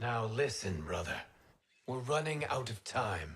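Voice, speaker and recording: A put-on character voice with very wide pitch swings at a fairly slow pace. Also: man, medium pitch for a man. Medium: video game. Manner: earnest, respectful.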